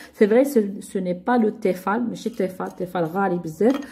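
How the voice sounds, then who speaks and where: At a very fast pace, a woman with a medium-pitched, somewhat breathy voice and a dark, mellow tone speaks with ordinary pitch variation. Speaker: YouTube lifestyle vlogger. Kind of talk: casual product haul video.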